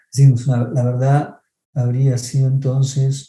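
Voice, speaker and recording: The voice carries an Argentine accent. Music plays in the background. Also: man. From Argentina. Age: 50s. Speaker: film critic. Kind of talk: lecture on film theory.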